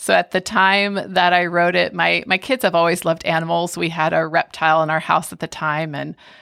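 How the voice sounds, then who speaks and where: The speaker has a plain, everyday voice and a moderate pace. The recording is very clean, with a silent background. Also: woman. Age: 40s. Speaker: children's book author and ministry coordinator. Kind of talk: casual chat.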